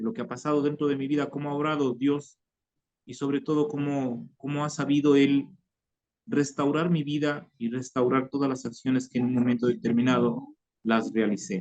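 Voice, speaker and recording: The pace is moderate. Pitch variation is ordinary. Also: man, fairly high pitch for a man. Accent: Ecuadorian. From Ecuador, Tulcán (northern highlands). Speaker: former guerrilla member giving conversion testimony. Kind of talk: testimony. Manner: halting, many repetitions and fillers.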